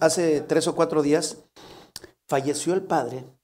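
A man talks at a moderate pace. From León, Guanajuato, Mexico. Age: 50s. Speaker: comedian. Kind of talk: casual comedic chat.

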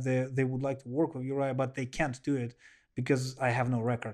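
A man with a Russian accent at a fairly quick pace, against a quiet background. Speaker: professional kickboxer and MMA fighter. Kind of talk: casual interview. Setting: at the host's home. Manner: animated.

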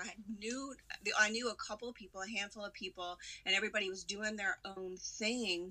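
Medium pitch from a woman with a plain, everyday voice, moderate in pace, with fairly even intonation. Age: 20s. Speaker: actress and entrepreneur. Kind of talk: casual chat.

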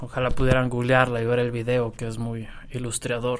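Against noticeable background noise, a man speaks at a medium pitch and a moderate pace. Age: 20s. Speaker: history student and part-time photographer. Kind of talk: interview. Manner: halting.

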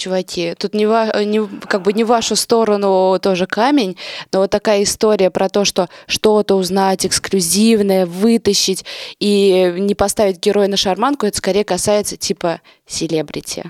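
A woman's normal speaking voice at a medium pitch, moderate pace and very even loudness, in a very clean recording with a silent background and a dry, close sound with no echo. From Russia, Nizhny Novgorod. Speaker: local media editor and event organizer. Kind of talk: casual chat.

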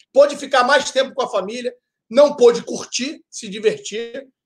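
A man speaks at a moderate pace in an extremely high voice. His pitch varies in an ordinary way. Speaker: football podcast co-host. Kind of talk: casual chat.

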